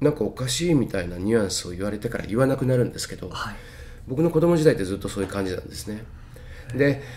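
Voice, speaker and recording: Talking at a very fast pace, a man uses lively intonation and a medium pitch, with big swings in loudness. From Tokyo, Itabashi. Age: 50s. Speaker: healer. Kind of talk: interview. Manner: clear, easy to follow.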